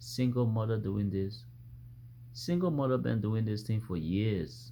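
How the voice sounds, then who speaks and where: Amid audible room echo, a man speaks in a somewhat breathy, fairly low voice with a dark, mellow tone and lively intonation. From Africa. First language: an African language. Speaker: vlogger. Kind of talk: opinion monologue. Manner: repetitive, halting restarts; animated.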